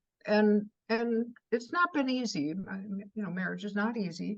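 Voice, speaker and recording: A woman with a medium pitch and a somewhat breathy voice speaks at a moderate pace with lively intonation. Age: 80s+. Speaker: poet and writing teacher. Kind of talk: interview. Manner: halting, many fillers.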